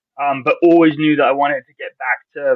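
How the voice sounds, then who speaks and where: This man talks at a very fast pace. His pitch sits fairly high. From England. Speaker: college soccer coach. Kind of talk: interview. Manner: casual, halting with repeated words.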